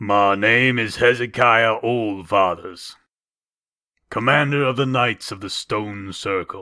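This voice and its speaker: In a put-on character voice, a man speaks slowly-ish and resonantly at a medium pitch, keeping a fairly slow pace. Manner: commanding, formal.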